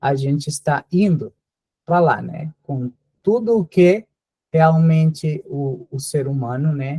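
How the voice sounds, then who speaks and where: A man speaks very slowly in a fairly high, somewhat breathy voice with a dark, mellow tone, ordinary pitch variation, and a dry, close sound with no echo. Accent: Spanish. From Colombia. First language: Spanish (speaking Portuguese). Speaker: visiting professor, geneticist. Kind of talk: lecture. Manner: hesitant, many fillers.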